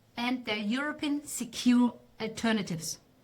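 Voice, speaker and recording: A woman's high voice with a non-native accent, lively intonation and a moderate pace. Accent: non-native English speaker. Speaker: AI consultant giving a talk. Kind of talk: presentation talk. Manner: halting at tricky words.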